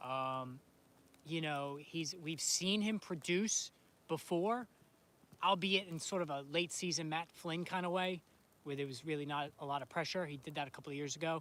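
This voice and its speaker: A man speaks with an American accent at a fairly high pitch. Ordinary pitch variation comes through in a very clean recording with a silent background. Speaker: fantasy sports streamer. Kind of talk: casual live stream chat. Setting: home, live stream filming snowstorm. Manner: fast; animated.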